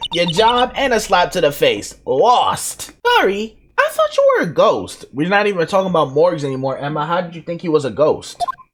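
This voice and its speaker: Moderate pace with hardly any pauses, over noticeable background noise. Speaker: gaming streamer. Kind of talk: let's play commentary. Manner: animated.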